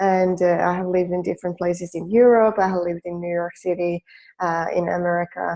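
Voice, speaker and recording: A woman speaks at a fairly quick pace with a Finnish accent. Her pitch is fairly low and her intonation flat and monotone. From Finland. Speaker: life coach. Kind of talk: webinar presentation. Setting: online webinar. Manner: hesitant with fillers.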